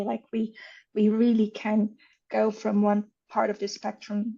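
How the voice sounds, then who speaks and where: Her fairly high voice is somewhat breathy with a dark, mellow tone, as this woman speaks at a moderate pace in a monotone, flat intonation. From Brazil. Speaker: author. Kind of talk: interview conversation.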